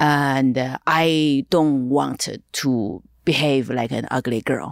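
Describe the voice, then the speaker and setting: In a Chinese accent, a woman speaks with a very deep, low pitch and ordinary pitch variation. The sound is dry and close with no echo, on a very clean recording with a silent background. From China. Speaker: stand-up comedian. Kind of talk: casual interview chat.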